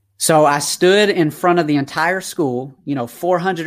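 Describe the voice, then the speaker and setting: A man with a slight Southern US accent, fairly high-pitched and energetic, at a moderate pace in a very clean recording with a silent background. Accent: slight Southern twang. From Atlanta, Georgia, US South. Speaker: youth mentor and speaker. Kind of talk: life story interview.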